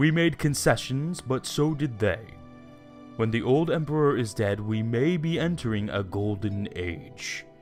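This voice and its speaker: A man talks at a moderate pace in a put-on character voice, his pitch medium for a man. Clear music plays in the background. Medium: read story.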